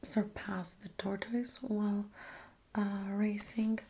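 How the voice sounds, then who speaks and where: Soft-spoken and relaxed in tone, a woman talks at a fairly slow pace and a fairly high pitch. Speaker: ASMR creator. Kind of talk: ASMR soft-spoken philosophy talk for sleep. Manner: soft-spoken, relaxed, conversational.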